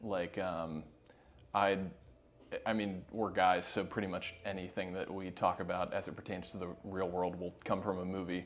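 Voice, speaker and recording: With music in the background, the speech moves at a moderate pace. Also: man. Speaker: video production company founder. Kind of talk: podcast interview. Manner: loud; casual, filler-heavy.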